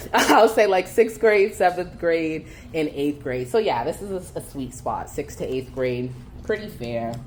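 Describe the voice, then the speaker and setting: A woman speaks at a fairly slow pace, her pitch swinging very widely. Noticeable background noise runs under her voice. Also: fairly low pitch for a woman. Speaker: homeschooling mom and channel host. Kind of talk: casual haul and chat to camera.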